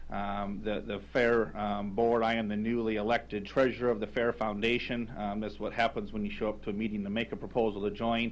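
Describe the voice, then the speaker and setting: A man speaks with an American accent at a fairly quick pace, his fairly low pitch and fairly even intonation making for an ordinary speaking voice. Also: hardly any pauses. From US Midwest. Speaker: foundation chairman; public commenter at county board. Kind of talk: public testimony. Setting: council chamber. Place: hall. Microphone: podium.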